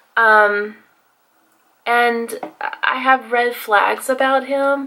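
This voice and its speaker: With an American accent, a woman speaks very slowly at a high pitch. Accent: southern accent, comes out on some words. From Texas. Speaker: beauty vlogger. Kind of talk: casual chat while doing makeup. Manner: casual, hesitant with fillers.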